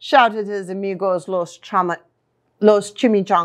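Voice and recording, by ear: Against a quiet background, a natural voice reads aloud with fairly even intonation.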